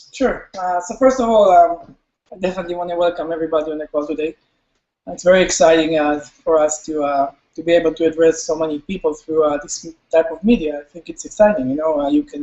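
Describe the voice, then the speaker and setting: A man talks very fast in an Israeli accent, with a fairly high pitch and ordinary pitch variation. His loudness swings widely. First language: Hebrew. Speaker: company CEO. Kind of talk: webinar presentation. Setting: live webinar.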